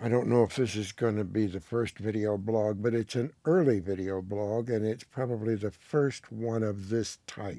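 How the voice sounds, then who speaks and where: Hardly pausing, a man with a fairly low pitch and a dark, mellow tone speaks at a moderate pace with fairly even intonation. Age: 70s. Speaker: video blogger and producer. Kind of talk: casual monologue vlog. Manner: rambling, conversational.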